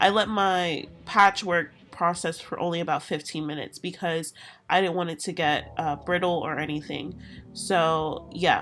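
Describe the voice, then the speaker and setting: With music in the background, the voice moves at a moderate pace with fairly even intonation. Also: woman, fairly low pitch for a woman. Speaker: hair tutorial creator. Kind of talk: casual voiceover tutorial.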